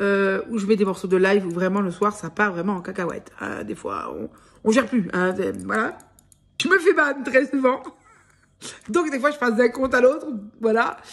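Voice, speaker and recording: With lively intonation and a fairly high pitch, a woman speaks at a moderate pace, leaving long, frequent pauses. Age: 30s. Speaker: vlogger. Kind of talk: casual vlog. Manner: hesitant, filler-heavy.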